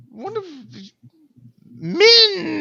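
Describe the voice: A put-on character voice pitched high. It comes out growling.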